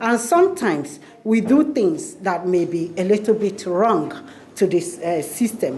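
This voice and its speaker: Noticeable background noise sits behind a woman speaking at a fairly slow pace. Her pitch swings very widely. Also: medium pitch for a woman. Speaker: community organization director. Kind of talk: speech at a public announcement. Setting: community centre event with audience. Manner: halting, with many fillers and restarts.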